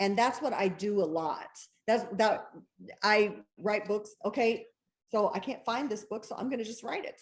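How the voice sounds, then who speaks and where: A woman speaks at a moderate pace in an animated tone, with long, frequent pauses. Her fairly high pitch shows ordinary variation. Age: 60s. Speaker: bestselling novelist. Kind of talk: interview.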